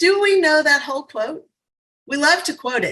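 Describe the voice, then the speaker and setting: A woman with a New Orleans accent uses a raised, projected voice and a bright, sharp tone. Her pitch swings very widely. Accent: New Orleans Southern US. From US South, New Orleans. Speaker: motivational speaker. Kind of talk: virtual summit talk. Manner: fast; animated.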